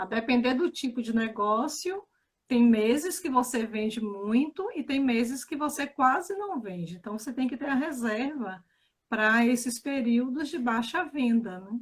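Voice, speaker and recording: A high-pitched woman's voice with lively intonation and a northeastern Brazilian accent. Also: fairly slow pace. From Bahia, Brazil (Feira de Santana). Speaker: financial educator. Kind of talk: casual chat. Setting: live stream.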